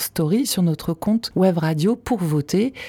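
In a dry, close sound with no echo, a woman with a dark, mellow, somewhat breathy tone speaks fairly slowly with ordinary pitch variation. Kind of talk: radio dj patter: back-announcing the track, plugging the album, teasing tomorrow. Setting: studio. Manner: brisk, polished, friendly radio-announcer delivery.

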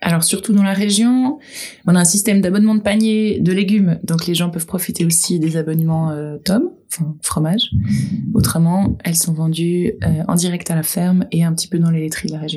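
A woman speaks in a fairly low pitch with a dark, mellow tone. Her voice is somewhat breathy. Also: ordinary pitch variation, moderate pace. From Geneva, Switzerland. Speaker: goat farmer. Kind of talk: casual chat.

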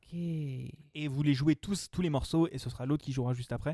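With an English accent, a man speaks at a moderate pace in a fairly high pitch and a dark, mellow tone, recorded with a dry, close sound and no echo. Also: very clean recording, silent background. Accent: self-described bad English. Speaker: podcast host, blind test quiz master. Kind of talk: casual game show chat. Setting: in-person recording around a table.

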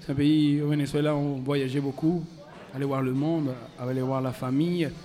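A man with a Spanish accent speaks at a moderate pace. His pitch is fairly high and his intonation fairly even. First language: Spanish (speaking French). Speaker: musician. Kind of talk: interview. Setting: festival press area, live radio.

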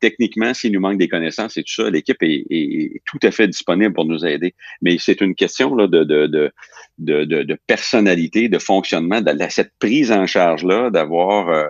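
Speaking at a fairly slow pace, a man has a very deep, low voice. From Quebec. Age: 50s. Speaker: company president. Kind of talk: interview. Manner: halting, many repetitions.

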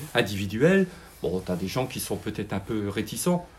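A man speaks in a medium pitch at a moderate pace. His voice is somewhat breathy. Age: 60s. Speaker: retired refinery worker, club committee member. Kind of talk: interview.

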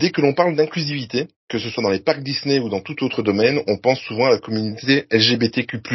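Somewhat breathy speech at a fairly quick pace, with ordinary pitch variation. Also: man, medium pitch for a man. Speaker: podcast host. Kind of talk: scripted narration; casual chat.

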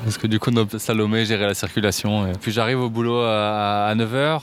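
Using a normal speaking voice, a man keeps a moderate pace, a medium pitch and fairly even intonation. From France, Paris. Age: 30s. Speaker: public digital services worker. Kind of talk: casual chat.

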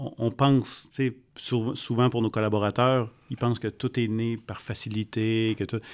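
A man talks at a medium pitch with a Quebec accent, his intonation monotone and flat. His pace is fairly slow. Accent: Québécois French. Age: 40s. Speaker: podcast co-host, entrepreneur. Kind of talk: interview.

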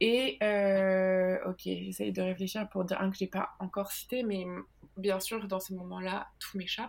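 At a fairly slow pace, a woman talks with a monotone, flat intonation. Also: medium pitch for a woman. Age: 30s. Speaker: comics author and illustrator. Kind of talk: interview.

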